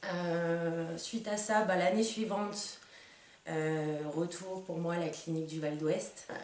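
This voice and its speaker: A woman's fairly low voice with fairly even intonation at a very slow pace, audible room echo and noticeable background noise. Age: 20s. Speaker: patient giving testimony. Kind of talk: testimony. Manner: hesitant, many fillers.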